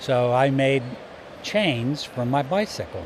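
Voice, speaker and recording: The speaker is a man. There is noticeable background noise behind him. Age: 70s. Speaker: business owner in trucking. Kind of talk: casual interview. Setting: trade show.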